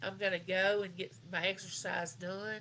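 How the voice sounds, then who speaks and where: With a Southern US accent, a woman talks in a bright, sharp tone with fairly even intonation. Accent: US South. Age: 60s. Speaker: live chat host. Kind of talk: casual chat. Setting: livestream.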